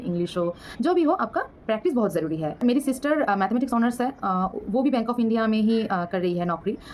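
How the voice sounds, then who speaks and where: A woman with a Bengali accent speaks in very wide pitch swings. Noticeable background noise runs behind her. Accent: Bengali-accented Hindi. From West Bengal, India. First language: Bengali (speaking Hindi). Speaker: banking exam vlogger. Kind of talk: casual advice vlog. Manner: halting, many fillers.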